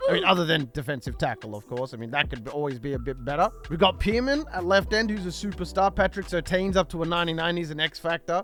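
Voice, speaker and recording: Over music in the background, a man with a fairly high voice talks at a very fast pace with lively intonation and hardly any pauses. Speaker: gaming YouTuber. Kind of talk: gameplay commentary.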